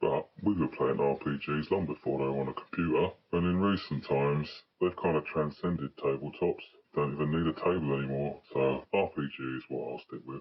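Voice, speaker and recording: Using a put-on character voice, a man talks at a fairly quick pace with a very deep, low pitch. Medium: solo performance. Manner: chatty, blunt, cheeky, swears freely.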